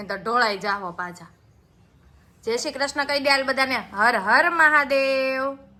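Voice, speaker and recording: A woman with a high pitch projects a raised voice in an animated, bright, sharp tone, her intonation lively and her loudness swinging widely. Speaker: family vlogger. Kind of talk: cooking tutorial; casual family vlog.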